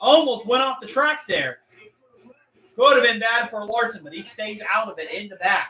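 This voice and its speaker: A man's raised, projected voice at an extremely high pitch, with ordinary pitch variation and big swings in loudness. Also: moderate pace. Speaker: livestream race commentator. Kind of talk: live commentary. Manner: animated.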